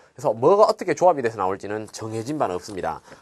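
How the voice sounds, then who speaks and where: A man is talking. His pitch swings very widely. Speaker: English test prep instructor. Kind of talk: recorded video lecture. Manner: casual, filler-heavy.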